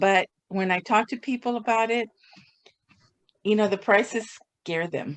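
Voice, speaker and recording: A woman with a fairly high voice and ordinary pitch variation speaks fairly slowly, with long, frequent pauses. The sound is dry and close with no echo. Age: 60s. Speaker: supplement customer. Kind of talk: casual chat.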